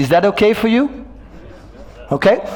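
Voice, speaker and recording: Over noticeable background noise, a man speaks with a French accent. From Belgium. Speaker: motivational speaker and business coach. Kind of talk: keynote talk. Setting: stage with audience.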